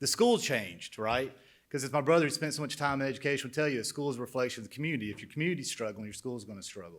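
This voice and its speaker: Over a silent background in a very clean recording, a man with an Alabama accent talks very fast at a medium pitch, his loudness swinging widely. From central Alabama, Shelby County. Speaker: former Air Force pilot, manufacturing businessman. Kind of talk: introductory speech. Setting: conference stage with audience.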